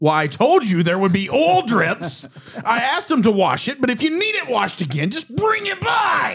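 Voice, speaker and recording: A man puts on a character voice, pitched extremely high. He keeps a moderate pace. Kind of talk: matter-of-fact, scolding. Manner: snippy, curt.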